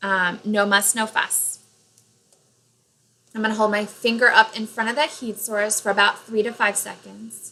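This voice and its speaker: Pausing long and often, a woman speaks in a monotone, flat intonation at a fairly high pitch. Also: moderate pace. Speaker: nail product tutorial vlogger. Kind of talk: tutorial. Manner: loud; casual, with fillers.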